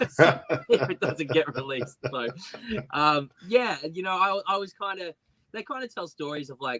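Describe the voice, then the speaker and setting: A man with an Australian accent speaks at a moderate pace in a fairly high, bright, sharp tone with lively intonation and big swings in loudness. The sound is dry and close, with no echo. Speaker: singer-songwriter. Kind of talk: interview. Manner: halting, stuttering.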